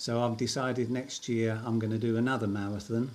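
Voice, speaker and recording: This man has an unremarkable speaking voice at a medium pitch. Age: 60s. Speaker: amateur marathon runner. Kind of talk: casual interview.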